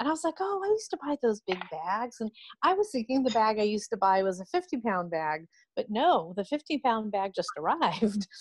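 With a fairly high pitch and very wide pitch swings, a woman with an American accent talks at a fairly quick pace in a somewhat breathy voice, the sound dry with no echo and the background quiet. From California, US. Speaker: food allergy advocate, mother. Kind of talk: casual group chat. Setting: video call. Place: home room. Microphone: video call.

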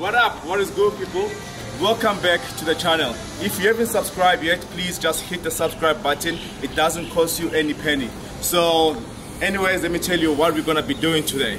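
Music plays behind a man speaking at a fairly quick pace. His voice is high-pitched. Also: ordinary pitch variation. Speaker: fitness coach. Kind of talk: workout intro explanation. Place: gym.

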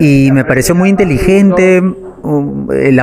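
A man talking at a fairly slow pace, with faint music in the background. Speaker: stage actor. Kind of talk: interview answer. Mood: relaxed, smiling. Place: home room. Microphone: handheld.

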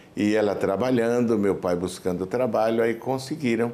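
Fairly low in pitch, a man speaks at a fairly slow pace with a dark, mellow tone. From Brazil, Pernambuco (Timbaúba); Pernambuco, Brazil. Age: 60s. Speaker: pastor, church president. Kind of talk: testimony interview. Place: home room. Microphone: lapel.

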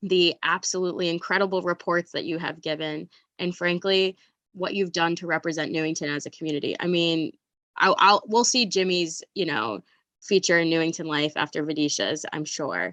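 This woman has a fairly low pitch and ordinary pitch variation, with a bright, sharp tone. The sound is dry and close, with no echo. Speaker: school board member. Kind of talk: public meeting remarks. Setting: video call. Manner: fast.

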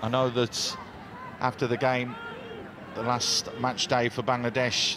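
Noticeable background noise sits under a man's medium-pitched voice. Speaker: football co-commentator and analyst. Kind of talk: live football match commentary, analysis between plays. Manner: animated, opinionated, punchy reactions.

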